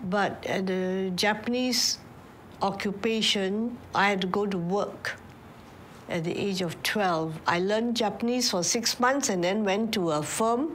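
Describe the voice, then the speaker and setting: Noticeable background noise and audible room echo fill the recording. A woman with a medium pitch and ordinary pitch variation speaks at a fairly slow pace. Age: 80s+. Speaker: war survivor. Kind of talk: testimony.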